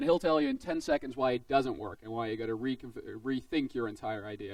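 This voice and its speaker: Very fast speech from a man with ordinary pitch variation. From Netherlands. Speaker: game design instructor. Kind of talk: presentation to students. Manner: casual, filler-heavy.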